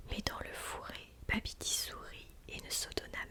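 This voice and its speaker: Fairly slow whispering from a woman, with noticeable background noise. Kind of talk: whispered ASMR story reading. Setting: close microphone studio recording. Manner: whispered, soft, slow.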